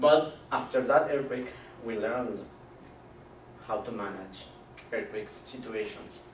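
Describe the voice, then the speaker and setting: Over noticeable background noise and audible room echo, a man of medium pitch speaks fairly slowly with long, frequent pauses, big swings in loudness and ordinary pitch variation. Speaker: student speaker. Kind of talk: class presentation. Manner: halting.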